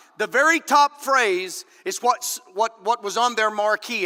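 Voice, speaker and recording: A man projects a raised voice at an extremely high pitch, with very wide pitch swings and an animated tone. He goes at a fairly slow pace in a dry, close sound with no echo. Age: 50s. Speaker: political candidate. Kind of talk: political speech. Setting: stage with audience.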